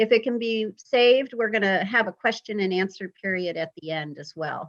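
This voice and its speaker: A woman with an American accent speaks in a plain, everyday voice at a medium pitch and a moderate pace. The sound is dry and close, with no echo. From US, Vermont, Pennsylvania and California. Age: 50s. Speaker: public health emergency planner. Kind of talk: presentation to club. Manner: conversational, many fillers.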